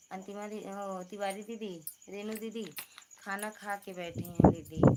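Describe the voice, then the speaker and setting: A soft-spoken woman talks at a very slow pace with a medium pitch and monotone, flat intonation. Her loudness swings widely, and there is noticeable background noise. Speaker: livestreamer, folk singer. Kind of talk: casual live stream chat. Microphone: too quiet.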